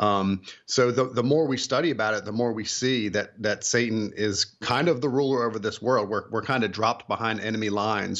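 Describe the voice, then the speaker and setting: This is a normal speaking voice from a man, pitched fairly low. He keeps a moderate pace and fairly even intonation. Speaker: author and illustrator. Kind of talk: radio interview.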